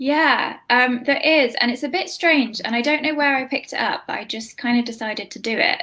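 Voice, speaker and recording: A woman with a British accent speaks in a raised, projected voice at a fairly quick pace. Her pitch is high, with ordinary variation. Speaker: grief app co-founder. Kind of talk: casual interview chat. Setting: live stream.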